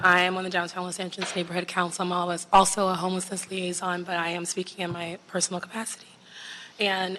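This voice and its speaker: A woman does a raspy put-on character voice at medium pitch, very fast and monotone, with light background noise. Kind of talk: formal public comment.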